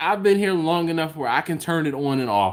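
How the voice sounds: A man with a Philadelphia accent at a fairly quick pace with lively intonation, on a very clean recording with a silent background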